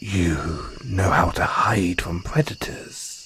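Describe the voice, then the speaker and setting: This is a put-on character voice, growling with lively intonation. It moves at a very slow pace over clear background noise. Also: man, very deep, low pitch for a man. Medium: audio drama. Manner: affectionate, calls listener darling; refined, slightly condescending toward humans.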